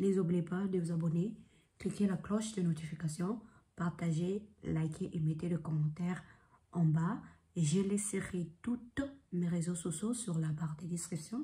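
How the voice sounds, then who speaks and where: Long pauses break up the speech frequently. Overall, the delivery is fairly slow. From Congolese heritage. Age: 20s. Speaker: vlogger. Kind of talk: casual vlog monologue.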